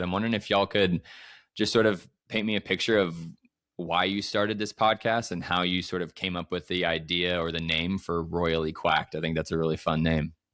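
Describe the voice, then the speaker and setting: Speech comes at a very fast pace in a Midwestern American accent, with fairly even intonation. The recording is very clean, and the background is silent. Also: man. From St. Louis, US Midwest. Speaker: podcast host. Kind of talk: casual interview chat.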